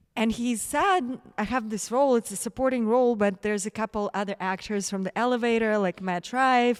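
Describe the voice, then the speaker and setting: A woman speaks at a fairly quick pace with a Russian accent and a fairly high pitch. Her pitch variation is ordinary, and the sound is dry and close with no echo. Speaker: actress. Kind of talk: interview. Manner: animated.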